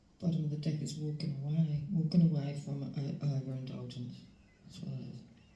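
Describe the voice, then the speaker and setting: This woman's voice is very deep and low in pitch, with fairly even intonation and a moderate pace, heard over noticeable background noise and audible room echo. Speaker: tarot reader. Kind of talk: tarot reading. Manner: halting, many fillers; soft-spoken. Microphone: volume problems.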